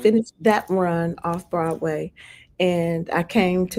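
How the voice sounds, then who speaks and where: A woman with a fairly low pitch talks in an ordinary speaking voice with fairly even intonation. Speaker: singer and actress. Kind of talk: interview answer.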